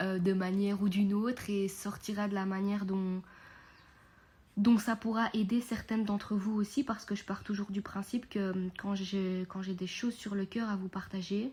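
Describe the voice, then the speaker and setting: A woman speaks with a medium pitch. Her intonation stays monotone and flat. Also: moderate pace. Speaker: podcast host and mindset coach. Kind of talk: unscripted podcast monologue. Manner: calmer and quieter than usual; hesitant, many fillers.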